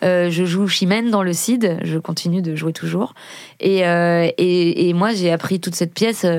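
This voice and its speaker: A plain, everyday voice speaks at a fairly slow pace. The intonation stays fairly even. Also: woman, fairly low pitch for a woman. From Paris region, France. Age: 30s. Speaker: rapper and actress. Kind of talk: casual interview. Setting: studio.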